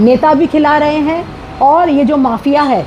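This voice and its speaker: A woman's voice with noticeable background noise. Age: 60s. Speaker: retired teacher, property owner speaking to press. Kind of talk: press statement. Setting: speaking to media.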